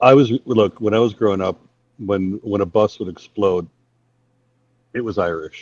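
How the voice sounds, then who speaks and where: The speech moves at a fairly slow pace with long, frequent pauses and ordinary pitch variation, recorded with a dry, close sound and no echo. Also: man. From England, London area (South Croydon/Epsom), moved to Minnesota at 12. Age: 50s. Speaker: channel host, debate streamer. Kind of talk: casual chat.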